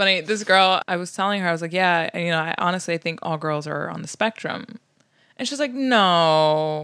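A woman with an American accent speaks fairly quickly in a fairly low pitch. Her tone is bright and sharp, captured in a very clean recording with a silent background. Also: ordinary pitch variation. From US Midwest, South Bend, Indiana. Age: 20s. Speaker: comedian. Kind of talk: casual chat.

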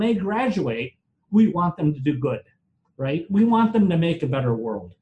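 A man with an Upper Midwest accent speaks at a high pitch in a dark, mellow tone with lively intonation. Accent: Upper Midwest American. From US Midwest, Wisconsin. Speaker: former fraternity leader and government official. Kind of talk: panel discussion.

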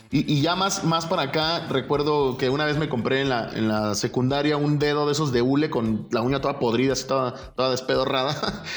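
Over noticeable background noise and audible room echo, a man talks at a fairly quick pace with hardly any pauses. His pitch is fairly high, with ordinary variation and very even loudness. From Mexico, Guadalajara. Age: 30s. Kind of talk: casual interview. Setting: remote call from his office. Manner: brusque, forceful delivery.

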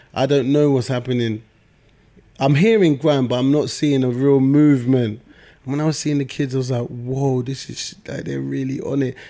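A man in a London accent speaks at a medium pitch with a dark, mellow tone. He keeps a moderate pace and fairly even intonation. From South East London. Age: 30s. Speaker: music manager and entrepreneur. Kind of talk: casual interview. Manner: calm.

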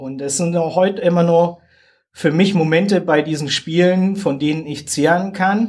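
This man's high voice moves at a moderate pace, his intonation fairly even. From southern Germany. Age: 40s. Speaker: soldier and games ambassador. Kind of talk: interview.

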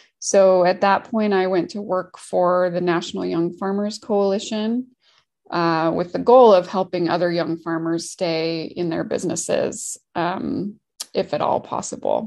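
An ordinary speaking voice with an American accent comes through against a quiet background. The pace is fairly slow and the intonation fairly even. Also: woman, medium pitch for a woman. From Washington State, US. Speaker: farmer hotline program manager, former farmer. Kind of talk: interview.

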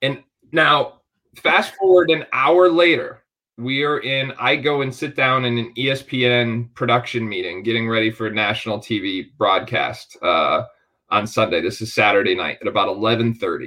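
Using a plain, everyday voice, a man at medium pitch speaks with lively intonation at a fairly slow pace. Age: 40s. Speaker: basketball podcast host. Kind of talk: interview.

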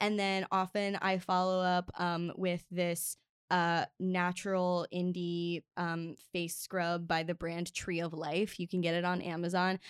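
On a very clean recording with a silent background and a dry, close sound with no echo, a woman speaks fairly slowly at a fairly low pitch in a monotone, flat intonation, with hardly any pauses. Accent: American. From US Mid-Atlantic (Maryland). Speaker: linguist and author. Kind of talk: casual interview chat. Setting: studio. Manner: talkative, frequent 'like' and 'um' fillers.

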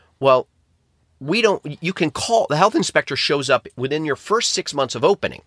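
A man talks at a moderate pace with lively intonation. The sound is dry and close, with no echo. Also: fairly high pitch for a man, very clean recording, silent background. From upstate New York, US. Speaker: restaurant franchising and turnaround strategist. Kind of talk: podcast interview.

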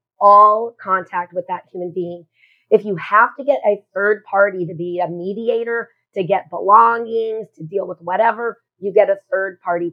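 A woman with a normal speaking voice talks at a moderate pace and medium pitch, her intonation fairly even while her loudness swings widely. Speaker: love coach. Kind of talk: interview, personal story.

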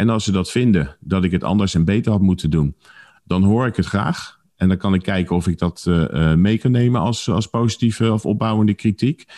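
Spoken at a fairly quick pace, the voice has a dark, mellow tone and ordinary pitch variation, with very even loudness in a dry, close sound with no echo over a quiet background. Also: man, fairly low pitch for a man. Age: 50s. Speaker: vitality consultant and podcaster. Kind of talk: casual interview.

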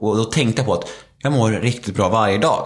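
With audible room echo and noticeable background noise, a man speaks at a medium pitch with ordinary pitch variation. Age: 30s. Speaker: former reality TV participant, speaker and podcaster. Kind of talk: interview about personal recovery story. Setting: at home in his kitchen.

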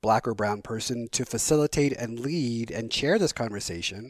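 Recorded with a dry, close sound and no echo, a man with an unremarkable speaking voice talks at a moderate pace and a medium pitch. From Colorado, US. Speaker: diversity speaker. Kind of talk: casual chat. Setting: home studio.

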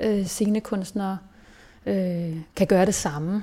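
Speaking at a very slow pace, a woman has a medium pitch and a dark, mellow tone. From Denmark, Hillerød north of Copenhagen. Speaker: theatre director. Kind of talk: interview. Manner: halting, many fillers and repetitions.

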